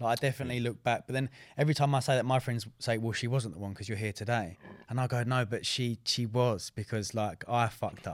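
A man speaks at a very fast pace with an English accent. His pitch is medium and his intonation fairly even. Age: 20s. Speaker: fitness coach and podcast co-host. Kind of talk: casual chat. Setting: studio.

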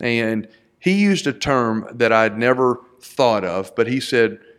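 With a Texan accent, a man speaks at a medium pitch with ordinary pitch variation. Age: 40s. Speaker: entrepreneur. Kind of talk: casual chat.

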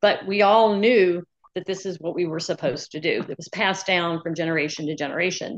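With an ordinary speaking voice, a woman talks at a fairly low pitch, showing ordinary pitch variation and big swings in loudness. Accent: American. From US South, New Orleans, Louisiana. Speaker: nurse practitioner. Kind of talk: casual chat.

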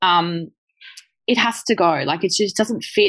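A woman's medium-pitched voice in an Australian accent at a moderate pace, over a quiet background. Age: 30s. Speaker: chocolate business founder. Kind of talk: casual interview chat.

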